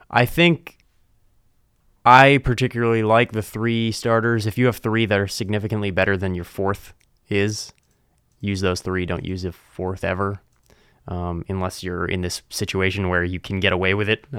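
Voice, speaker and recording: Speaking at a moderate pace with an American accent, a man uses a fairly low pitch, fairly even intonation and an unremarkable speaking voice on a very clean recording with a silent background. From US East Coast. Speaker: podcast host. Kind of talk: casual sports banter.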